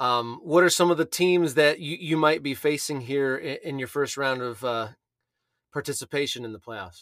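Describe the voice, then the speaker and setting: A man with a plain, everyday voice, fairly high in pitch with ordinary pitch variation, big swings in loudness, and a very clean recording over a silent background. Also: moderate pace. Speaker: podcast host. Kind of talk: interview podcast.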